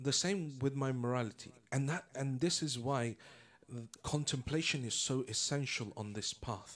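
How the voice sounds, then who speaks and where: Speaking in a British accent, a man keeps to a medium pitch. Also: ordinary pitch variation, moderate pace. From England. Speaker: Islamic lecturer. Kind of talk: religious lecture.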